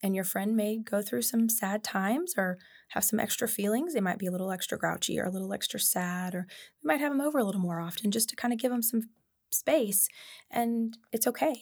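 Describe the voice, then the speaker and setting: On a very clean recording with a silent background, a woman speaks at a fairly high pitch, somewhat breathy, with ordinary pitch variation. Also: fairly quick pace. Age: 40s. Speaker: licensed counselor and play therapist. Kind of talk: casual interview.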